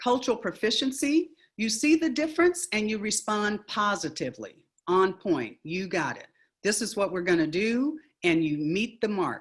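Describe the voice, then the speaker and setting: Against a quiet background, a woman with a fairly high, somewhat breathy voice speaks at a moderate pace, her pitch swinging very widely. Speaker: education speaker and author. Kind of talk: webinar presentation.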